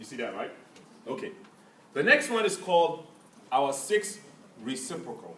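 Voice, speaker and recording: Speaking in an African accent at a moderate pace, a man with a high pitch makes very wide pitch swings and big jumps in loudness, leaving long, frequent pauses amid audible room echo. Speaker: math teacher. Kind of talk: classroom lesson. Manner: interactive call-and-response questioning.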